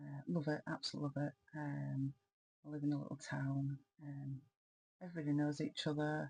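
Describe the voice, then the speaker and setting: Somewhat breathy and dark, mellow in tone, a woman speaks in a very deep, low pitch with a dry, close sound and no echo. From Yorkshire, northern England. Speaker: crafting vlogger. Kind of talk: casual vlog talk. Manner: hesitant, many ums.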